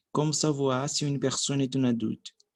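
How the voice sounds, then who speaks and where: Fairly slow and with fairly even intonation, a man talks. He has a Brazilian accent. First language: Portuguese (speaking French). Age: 30s. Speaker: language learner. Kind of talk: language practice monologue. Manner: halting, with fillers and restarts.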